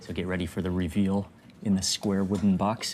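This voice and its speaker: A quiet man's voice, very deep and low, at a fairly quick pace. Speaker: food vlogger. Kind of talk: food vlog narration. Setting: small restaurant. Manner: quiet, keeping voice low; animated.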